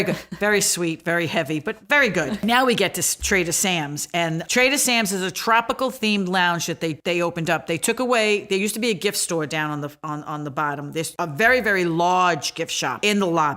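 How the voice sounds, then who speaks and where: With a Brooklyn accent, the speaker goes at a fairly quick pace with hardly any pauses, lively intonation and a bright, sharp tone on a very clean recording with a silent background. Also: woman, fairly low pitch for a woman. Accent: Brooklyn New York. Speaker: podcast co-host. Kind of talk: podcast resort overview.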